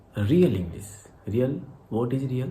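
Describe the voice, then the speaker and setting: Audible room echo surrounds a man's medium-pitched voice. His tone is dark and mellow, and somewhat breathy. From India, Haryana. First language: Hindi (Khari Boli dialect). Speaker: English teacher YouTuber. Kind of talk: tutorial vlog, mixed Hindi and English. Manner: halting, self-correcting.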